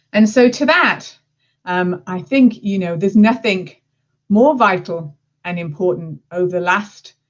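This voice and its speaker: A woman with an English accent at a medium pitch, lively intonation and a fairly slow pace. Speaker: marketing executive. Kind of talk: presentation.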